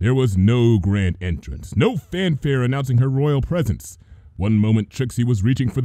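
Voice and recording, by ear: Natural-sounding reading out loud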